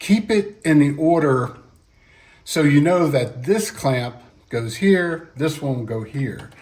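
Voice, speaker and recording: A man with a fairly high pitch speaks in a somewhat breathy voice with lively intonation. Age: 60s. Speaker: DIY car repair video maker. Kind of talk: tutorial. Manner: casual, halting.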